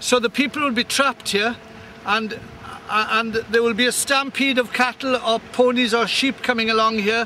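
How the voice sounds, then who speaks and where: Amid noticeable background noise, a man uses a raised, projected voice at an extremely high pitch with monotone, flat intonation. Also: moderate pace. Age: 60s. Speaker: farmer. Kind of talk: walking video commentary. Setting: outdoors. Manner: halting with repetitions.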